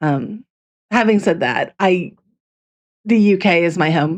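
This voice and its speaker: Over a quiet background, a woman speaks at a fairly slow pace in a fairly low voice with ordinary pitch variation. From US Midwest, Chicago. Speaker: fanfiction writer, livestreamer. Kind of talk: casual livestream chat. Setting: livestream. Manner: chatty, with fillers and restarts.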